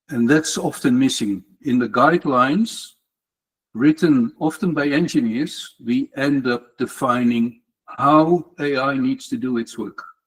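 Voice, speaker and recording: A man with an unremarkable speaking voice talks at a fairly slow pace. His fairly high pitch shows ordinary variation. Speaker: tech community speaker. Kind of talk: lightning talk presentation.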